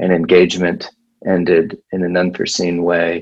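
A man speaking at a fairly slow pace. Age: 30s. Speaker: pastor. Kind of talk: casual interview. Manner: halting.

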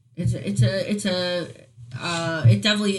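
A woman's somewhat breathy voice keeps a moderate pace. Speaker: podcast host. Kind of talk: casual chat. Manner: halting, many fillers.

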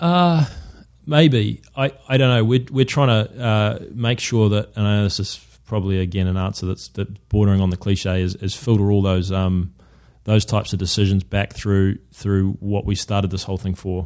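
A man with a New Zealand accent speaks at a moderate pace and fairly low pitch, with ordinary pitch variation. The recording is very clean, with a silent background. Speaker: shoe company co-founder, former professional footballer. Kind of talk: interview. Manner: halting, many false starts.

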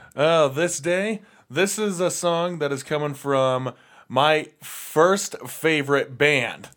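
Very slowly, a man speaks at a fairly high pitch. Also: ordinary pitch variation. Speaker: punk radio show co-host and band vocalist. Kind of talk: casual chat. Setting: studio.

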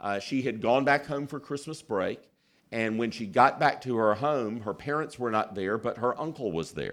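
Very clean, with a silent background, the recording captures a man. He speaks with a Southern US accent. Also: medium pitch for a man, ordinary pitch variation, moderate pace. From US South, South Carolina. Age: 50s. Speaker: pastor. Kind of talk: sermon.

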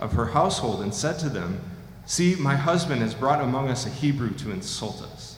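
A man talks at a fairly quick pace in a medium pitch. Noticeable background noise runs underneath. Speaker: scripture reader. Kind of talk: reading aloud.

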